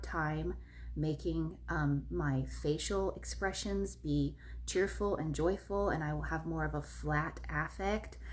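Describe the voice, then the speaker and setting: Fairly slow speech from a woman, carrying audible room echo. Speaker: wellness content creator. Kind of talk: casual live video talk. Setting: live video on social media. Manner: melodic, expressive intonation.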